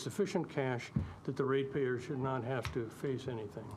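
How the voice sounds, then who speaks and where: Through audible room echo, a man at a medium pitch talks at a fairly quick pace with ordinary pitch variation. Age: 70s. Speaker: public submitter at council hearing. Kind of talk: public hearing Q&A, debate.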